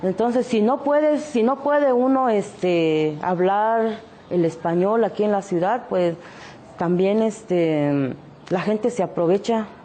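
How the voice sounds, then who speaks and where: This woman speaks at a fairly slow pace. Her intonation is lively. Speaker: artisan and entrepreneur. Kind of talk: interview testimony.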